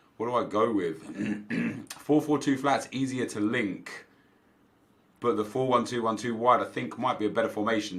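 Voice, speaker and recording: With a British accent, a man talks at a moderate pace. His pitch is medium, with ordinary variation. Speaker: gaming youtuber. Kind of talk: gameplay commentary. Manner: animated.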